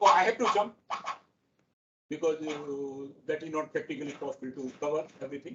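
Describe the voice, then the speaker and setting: Speaking at a fairly quick pace yet with long, frequent pauses, a man uses a fairly high pitch and ordinary pitch variation. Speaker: professor. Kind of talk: lecture. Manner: fast.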